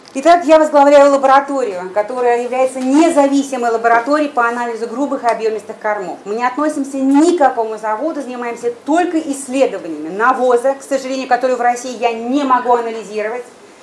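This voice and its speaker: Very fast delivery with hardly any pauses and ordinary pitch variation, over noticeable background noise. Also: woman, high pitch for a woman. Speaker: laboratory head. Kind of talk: presentation.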